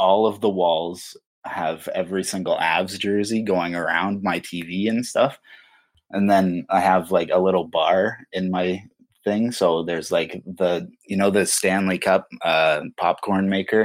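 A fairly slow, monotone delivery with flat intonation and a Canadian accent. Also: man, very deep, low pitch for a man. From Ontario, Canada. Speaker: sports fan. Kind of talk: casual chat.

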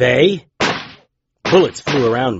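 Somewhat breathy, a man at a medium pitch speaks with very wide pitch swings. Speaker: fictional private investigator and narrator. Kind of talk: horror audio drama with noir-style first-person narration. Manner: growls defiant insults, sarcastic and gruff in the tense confrontations.

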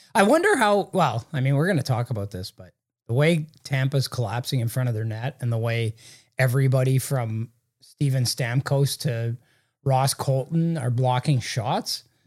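A man speaks at a medium pitch and a moderate pace, somewhat breathy, with ordinary pitch variation. The sound is dry and close with no echo, on a very clean recording with a silent background. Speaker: hockey journalist and podcast host. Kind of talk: casual sports talk chat. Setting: in-person, same room as co-host.

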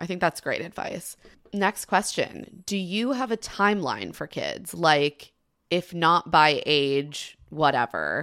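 A woman with an American accent, fairly low in pitch, very slow in pace, with lively intonation, vocal fry and a bright, sharp tone. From US suburbs. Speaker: podcast host. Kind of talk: casual chat.

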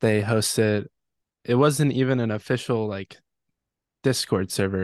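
A man of medium pitch with an American accent and fairly even intonation, in a dry, close sound with no echo against a quiet background. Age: 20s. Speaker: electronic music producer. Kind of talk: interview.

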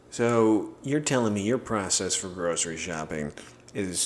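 At a moderate pace, a man talks in a plain, everyday voice with fairly low pitch. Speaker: podcast co-host. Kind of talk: casual banter. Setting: studio.

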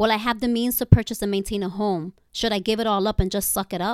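An unremarkable speaking voice from a woman at medium pitch, fairly quick in pace with fairly even intonation, dry and close with no echo, on a very clean recording with a silent background. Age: 40s. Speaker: writer. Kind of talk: reading aloud.

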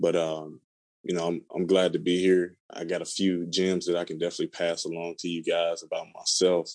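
Here a man speaks with an American accent in a very deep, low pitch. His delivery is monotone and flat, at a fairly quick pace. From Chicago, US Midwest. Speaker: mortgage lender, former college football player. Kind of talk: casual interview. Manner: halting, many fillers and repeated words.

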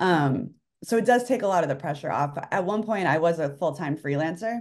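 A woman talks with lively intonation in a very deep, low voice. The background is quiet. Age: 40s. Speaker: writer and newsletter author. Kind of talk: casual interview chat.

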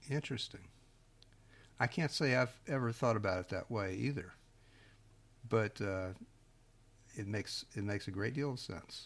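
In a very clean recording with a silent background, a man speaks at medium pitch with ordinary variation, somewhat breathy, at a moderate pace with long, frequent pauses. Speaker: podcast host. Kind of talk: interview.

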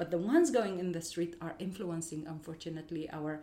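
Audible room echo follows a woman with an Arabic accent as she speaks at a fairly quick pace, fairly low pitch and ordinary pitch variation. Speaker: educator. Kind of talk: interview.

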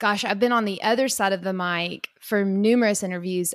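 With a Kentucky accent, a woman speaks at medium pitch and a moderate pace with ordinary pitch variation. The recording is very clean, with a silent background. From rural Kentucky. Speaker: agriculture professional and podcast host. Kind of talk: interview conversation.

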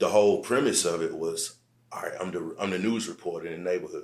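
Speaking fairly quickly, a man has a South Carolina accent. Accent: Southern US, South Carolina. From US South, Aiken, South Carolina. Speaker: rapper and songwriter. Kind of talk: casual interview chat.

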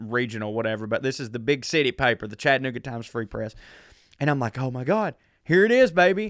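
A man with a Southern US accent, medium pitch and a fairly quick pace. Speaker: comedian. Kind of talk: casual chat. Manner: animated.

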